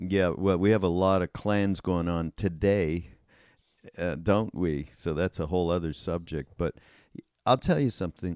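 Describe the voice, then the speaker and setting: A man with a very deep, low pitch talks at a moderate pace with fairly even intonation. The sound is dry and close with no echo, a very clean recording over a silent background. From Canada. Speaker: podcast host. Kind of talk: casual chat. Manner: halting.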